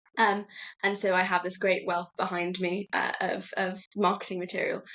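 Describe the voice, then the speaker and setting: With a British accent, a woman speaks at a moderate pace and medium pitch, her tone bright and sharp and her intonation monotone and flat. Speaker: startup executive. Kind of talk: podcast interview.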